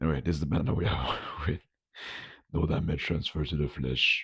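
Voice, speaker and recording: The speaker has vocal fry and keeps a moderate pace. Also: man. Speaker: food vlogger. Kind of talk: casual video vlog. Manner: casual, hesitant with fillers.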